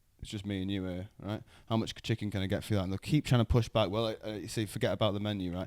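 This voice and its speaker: A man with a Mancunian accent talks very fast in a fairly low voice with fairly even intonation, the sound dry and close with no echo on a very clean recording with a silent background. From Manchester, England (Wythenshawe). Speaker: comedian and podcast host. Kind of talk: casual chat.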